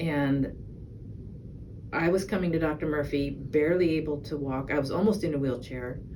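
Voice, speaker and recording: The speech moves at a moderate pace with fairly even intonation, amid noticeable background noise and audible room echo. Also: woman. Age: 60s. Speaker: patient giving testimonial. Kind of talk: testimony. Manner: halting, many fillers.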